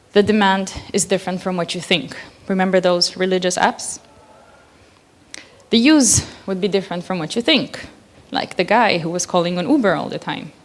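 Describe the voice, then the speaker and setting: With a non-native accent and medium pitch, a woman speaks at a moderate pace with ordinary pitch variation and long, frequent pauses over noticeable background noise. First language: not English. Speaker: conference speaker. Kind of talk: conference talk.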